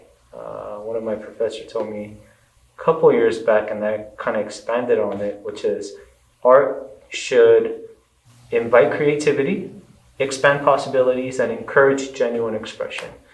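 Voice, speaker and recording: With an American accent, a man speaks at a moderate pace. His loudness swings widely amid audible room echo. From Korea, then US from about age 12. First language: Korean. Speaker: art student and artist. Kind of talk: interview. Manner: halting, with fillers.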